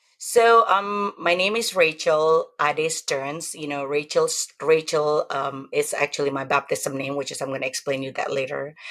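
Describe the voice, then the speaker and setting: A woman's very deep, low voice in an Indonesian accent, at a moderate pace with hardly any pauses. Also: ordinary pitch variation. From Indonesia (Javanese). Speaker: testimony guest. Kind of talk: testimony interview.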